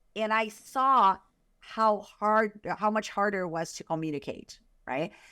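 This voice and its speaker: A woman speaks in a Brazilian Portuguese accent, her medium-pitched voice bright and sharp in tone. She goes at a fairly slow pace with ordinary pitch variation, in a very clean recording with a silent background. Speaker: author and sales consultant. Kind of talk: podcast interview.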